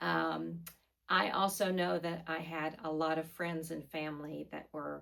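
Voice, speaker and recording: Her pitch very deep and low, a woman speaks at a fairly slow pace with monotone, flat intonation. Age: 60s. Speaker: fitness vlogger and figure competitor. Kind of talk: vlog monologue. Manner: casual with frequent fillers.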